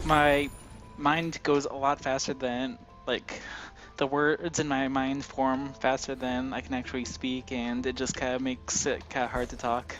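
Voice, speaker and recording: Music plays in the background as the voice moves at a fairly slow pace with fairly even intonation. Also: man, medium pitch for a man. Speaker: stream co-host. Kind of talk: casual chat. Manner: stutters, fumbles words.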